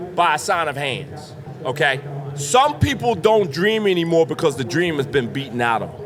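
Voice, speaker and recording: Over noticeable background noise, a man with a fairly high pitch speaks at a moderate pace in an animated tone with lively intonation. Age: 50s. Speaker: drain cleaning business owner. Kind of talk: podcast interview before live audience. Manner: loud.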